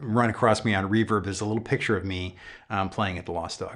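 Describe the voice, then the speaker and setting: A man with an American accent talks at a fairly quick pace with fairly even intonation. His pitch is fairly low, and the background is quiet. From Upstate New York. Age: 60s. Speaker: YouTube guitar channel host. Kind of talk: live stream chat. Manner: casual, many fillers.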